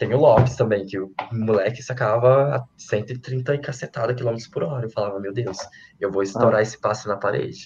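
A man is speaking with fairly even intonation. His voice is somewhat breathy. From Minas Gerais, Brazil. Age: 20s. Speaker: volleyball player. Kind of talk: interview.

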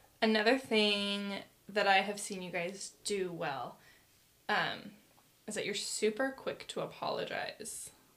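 A woman with an ordinary speaking voice, medium pitch, ordinary pitch variation, big swings in loudness and a fairly slow pace. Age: 20s. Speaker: podcast host. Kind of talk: casual interview.

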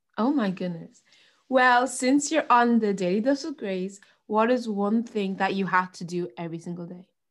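A woman speaks with an Irish accent, lively intonation and big swings in loudness. The recording is very clean, with a silent background. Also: medium pitch for a woman, moderate pace. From Ireland. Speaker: podcast host. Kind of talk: casual chat. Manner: animated.

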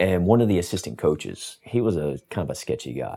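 Dark and mellow in tone with vocal fry, a man speaks at a very fast pace. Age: 40s. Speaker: writer and stuntman. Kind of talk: casual chat. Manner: distinctive measured delivery.

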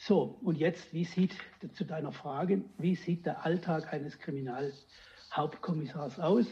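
A man's high-pitched voice, with ordinary pitch variation, is heard against noticeable background noise. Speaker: retired police detective. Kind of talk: storytelling interview.

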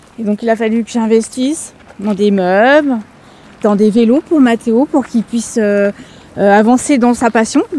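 A woman with a fairly high pitch talks moderately fast, her pitch varying in an ordinary way over noticeable background noise. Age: 40s. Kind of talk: interview at home.

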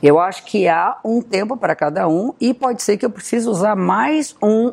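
Lively intonation in a woman's voice, medium in pitch and moderate in pace. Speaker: astrologer. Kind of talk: talking-head video.

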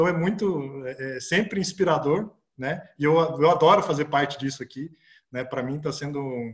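His voice is somewhat breathy. The man's pitch sits fairly high. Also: ordinary pitch variation, moderate pace. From Brazil, interior of Paraná. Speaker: startup founder, mechanical engineer. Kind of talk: interview conversation.

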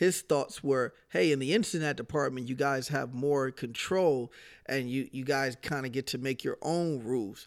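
In a very clean recording with a silent background, a man speaks at a moderate pace in a normal speaking voice, medium in pitch with ordinary pitch variation. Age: 30s. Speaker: podcast host. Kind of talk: casual chat.

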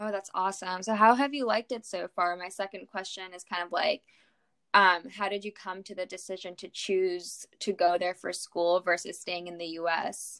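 A woman's medium-pitched voice with a bright, sharp tone, fairly even intonation and big swings in loudness, moderate pace, dry, close sound with no echo. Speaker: podcast host, medical student. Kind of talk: casual interview.

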